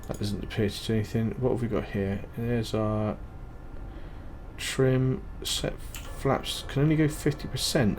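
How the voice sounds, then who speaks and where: A man at a moderate pace, with audible room echo. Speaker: gaming YouTuber. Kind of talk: gameplay commentary. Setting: home recording at night. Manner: casual, hesitant with fillers; quiet, low-volume talk.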